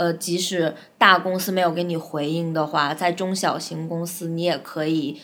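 A woman's fairly low voice at a moderate pace, flat and monotone in intonation. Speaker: advertising account manager. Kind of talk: interview. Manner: talkative.

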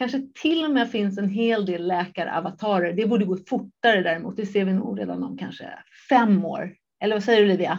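At a fairly quick pace, a woman with a plain, everyday voice talks at a medium pitch with ordinary pitch variation. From Japan. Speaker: entrepreneur. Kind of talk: interview.

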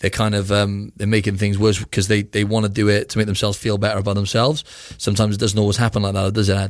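The speaker talks very fast in a flat monotone with a British accent. The recording is very clean, with a silent background. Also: man. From UK. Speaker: physique competitor. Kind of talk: interview conversation.

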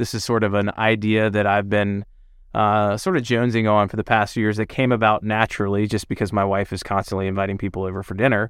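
A man with a Southern US accent talks very fast at a fairly low pitch in a flat monotone, on a very clean recording with a silent background. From US South, suburban Atlanta, Georgia. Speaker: cookbook author and chef. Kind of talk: interview.

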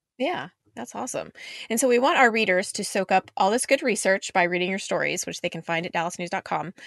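A normal speaking voice with lively intonation, against a quiet background with dry, close sound and no echo. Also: woman. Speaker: podcast host, food editor. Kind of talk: casual chat. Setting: studio.

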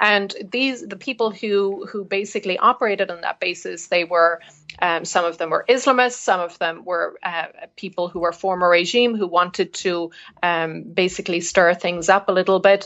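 A woman with a Cork accent speaks at a moderate pace. Her medium-pitched voice has fairly even intonation. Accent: Irish (Cork). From Cork, Ireland. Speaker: journalist. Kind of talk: interview answers, explanatory. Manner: hesitant, many fillers.

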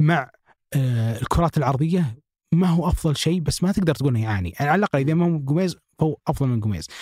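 This man talks very fast with lively intonation in a fairly high, somewhat breathy voice. His tone is dark and mellow, and the sound is dry and close with no echo. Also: very even loudness. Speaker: football podcast host. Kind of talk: casual football analysis chat.

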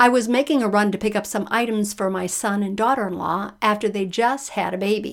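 The reading voice here is unforced. No strain is heard in it.

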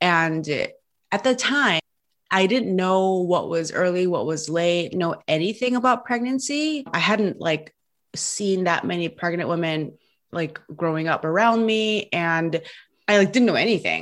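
A woman with a plain, everyday voice speaks in an American accent at medium pitch. She uses lively intonation at a fairly slow pace. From United States. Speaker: marketing coach and podcast guest. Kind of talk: casual interview. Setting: remote call.

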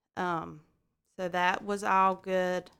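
This woman has a fairly low pitch. She speaks at a very slow pace. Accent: Southern US. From US South, Georgia. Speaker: medical imaging worker sharing infertility story. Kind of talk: personal testimony in interview.

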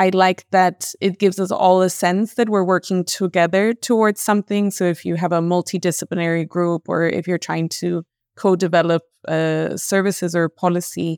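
Recorded very cleanly against a silent background, with a dry, close sound and no echo, a woman with a Spanish accent speaks at a moderate pace in a fairly low pitch and a monotone, flat intonation. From Colombia. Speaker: mental health researcher. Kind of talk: podcast interview.

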